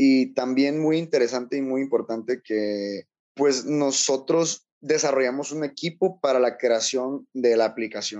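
A man with a dark, mellow tone and medium pitch speaks fairly slowly with hardly any pauses and ordinary pitch variation. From southern Mexico, Chiapas coast. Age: 20s. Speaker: energy engineer and youth organization founder. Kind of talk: interview. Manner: halting, many fillers.

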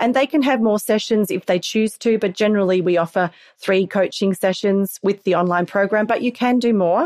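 A woman's medium pitch with ordinary pitch variation, at a fairly quick pace with hardly any pauses, in a dry, close sound with no echo and a very clean recording with a silent background. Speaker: parenting skills coach. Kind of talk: interview conversation.

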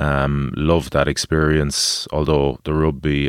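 A man talks in a very deep, low pitch with an Irish accent. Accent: Irish (Galway). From Galway, west of Ireland. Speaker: former rugby player and adventurer. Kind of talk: casual chat. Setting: studio.

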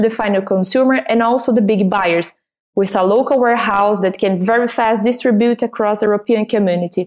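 Her fairly high-pitched voice moves at a fairly quick pace, and this woman shows ordinary pitch variation. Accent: Portuguese. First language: Portuguese. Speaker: export manager for a cosmetics company. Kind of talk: interview.

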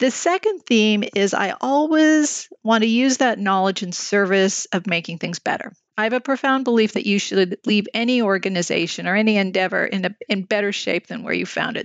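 A woman's fairly high voice, an unremarkable speaking voice, at a moderate pace with hardly any pauses. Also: ordinary pitch variation. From Canada, Montreal. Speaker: CEO of a research organization. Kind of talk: interview.

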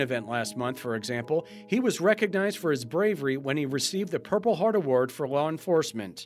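A man's fairly high-pitched voice with lively intonation at a very fast pace. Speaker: podcast host. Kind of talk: news podcast hosting.

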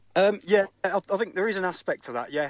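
A man speaks very fast with a West Midlands accent. The sound is dry and close, with no echo. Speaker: football fan. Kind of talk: interview. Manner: halting.

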